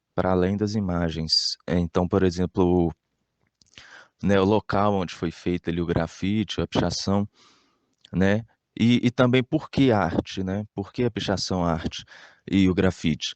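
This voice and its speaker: A man with a very deep, low voice talks at a fairly slow pace with ordinary pitch variation. Long, frequent pauses break up his speech. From Brazil, Minas Gerais (Belo Horizonte area). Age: 20s. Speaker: graffiti artist. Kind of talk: interview answers. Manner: halting, many fillers and repetitions.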